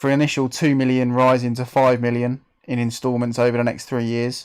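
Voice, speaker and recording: In a London accent, a man talks at a fairly quick pace with a medium pitch and flat, monotone intonation, on a very clean recording with a silent background. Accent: Mockney. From England, Bedfordshire. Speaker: gaming live streamer. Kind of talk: live stream commentary. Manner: casual, chatty.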